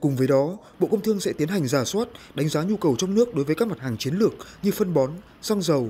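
A man's fairly high-pitched, dark and mellow voice at a very fast pace, with very wide pitch swings. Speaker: news reporter. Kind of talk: news reading. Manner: formal.

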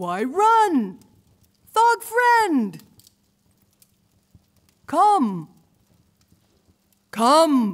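Using a put-on character voice, a woman speaks at a very slow pace with long, frequent pauses, a high pitch and very wide pitch swings.

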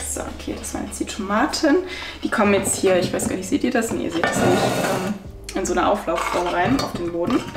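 With clear music in the background, a woman talks at a fairly quick pace with few pauses, a medium pitch and ordinary pitch variation.

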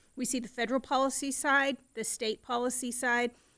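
A woman speaks in a fairly high pitch with monotone, flat intonation, the sound dry and close with no echo. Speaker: economic development association executive. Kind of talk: presentation. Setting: city council meeting. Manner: loud; fast.

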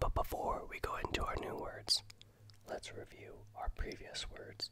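Whispering, a man goes at a fairly slow pace. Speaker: ASMR creator learning Italian. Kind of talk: ASMR language-learning vocabulary lesson. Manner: soft-spoken, whispered.

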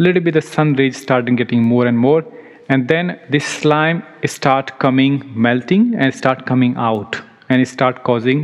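This man talks at a moderate pace. His intonation stays fairly even. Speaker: ayurveda lecturer. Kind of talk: lecture. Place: hall.

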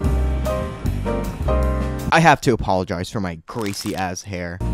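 Clear music plays behind a man speaking at a moderate pace. His voice sounds dry, with no echo. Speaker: vlogger. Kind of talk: casual talk to camera. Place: bathroom. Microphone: phone near.

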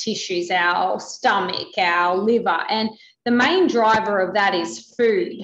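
With audible room echo, a woman speaks at a very slow pace, her fairly high pitch carrying lively intonation. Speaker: metabolism researcher. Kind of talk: expert interview. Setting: video call. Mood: engaged, explanatory. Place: home room. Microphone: video call.

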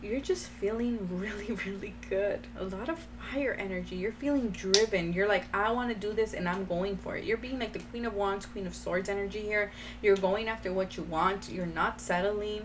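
A woman speaks at a moderate pace with fairly even intonation. Noticeable background noise runs underneath. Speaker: tarot card reader. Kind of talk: tarot reading commentary. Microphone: phone near.

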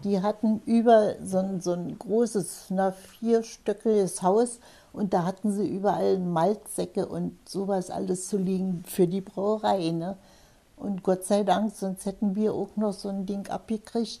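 Speaking fairly slowly, a woman uses a medium pitch and a dark, mellow tone in a flat monotone. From Potsdam. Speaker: war eyewitness. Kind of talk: interview answer. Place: home room.

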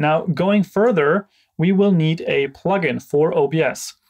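A man speaks with a fairly high pitch and a slightly mellow tone. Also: ordinary pitch variation, fairly slow pace.

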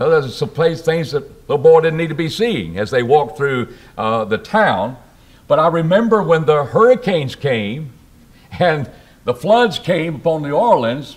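A man speaks at a moderate pace with a somewhat breathy voice. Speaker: preacher. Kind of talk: sermon. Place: church. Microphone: podium.

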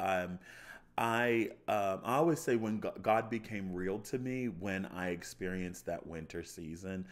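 With an American accent and a very deep, low pitch, a man talks at a moderate pace with ordinary pitch variation and long, frequent pauses. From US, Baltimore suburbs, Maryland. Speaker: chef and pastor. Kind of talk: testimony. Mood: joyful, warm. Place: studio. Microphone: studio mic.

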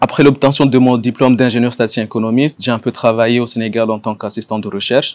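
With a monotone, flat intonation, a man talks at a very fast pace with hardly any pauses. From Comoros. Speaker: economics professor. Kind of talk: self-introduction video. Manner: hesitant, many fillers. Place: garden.

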